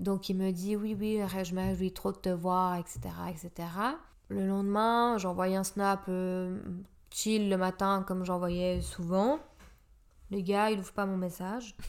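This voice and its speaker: A woman's medium-pitched voice at a very slow pace, with monotone, flat intonation, long, frequent pauses, and a very clean recording against a silent background. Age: 30s. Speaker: podcast guest, medical professional. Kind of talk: casual chat.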